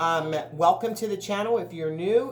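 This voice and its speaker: A woman speaks with ordinary pitch variation, her voice carrying audible room echo. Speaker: tarot reader. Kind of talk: tarot reading monologue. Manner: fast; casual, filler-heavy.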